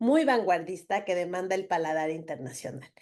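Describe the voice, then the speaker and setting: A woman's medium-pitched voice, dark and mellow in tone, with ordinary pitch variation over a quiet background. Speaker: interviewer. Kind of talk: show host introduction.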